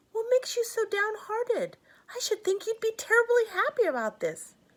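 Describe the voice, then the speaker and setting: A woman puts on a squeaky character voice with an extremely high pitch. She keeps a moderate pace. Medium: read story. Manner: eager, earnest.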